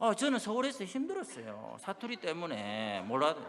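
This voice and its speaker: A man talks at a fairly quick pace in a strong Busan accent. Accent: strong Busan (Gyeongsang) dialect. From South Korea, Busan. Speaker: pastor. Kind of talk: sermon.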